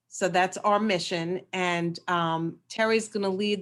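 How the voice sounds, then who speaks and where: A woman's very slow, monotone speech with flat intonation in a New York accent. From New York City. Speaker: nonprofit representative. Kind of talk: webinar introduction.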